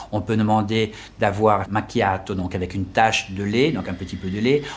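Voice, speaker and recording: There is noticeable background noise behind this man. He speaks with a fairly low pitch at a fairly slow pace. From France. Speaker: French teacher and tour guide. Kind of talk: interview. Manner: halting.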